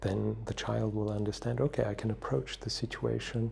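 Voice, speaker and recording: A soft-spoken man talks at a moderate pace in a fairly low voice. His tone is dark and mellow, with vocal fry. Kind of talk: soft-spoken wisdom talk for sleep and relaxation.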